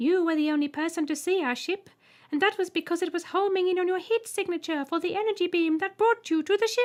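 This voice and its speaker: Putting on a squeaky, shrill character voice, a woman speaks at a very fast pace with an extremely high pitch. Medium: read story. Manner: polite, holding back giggles.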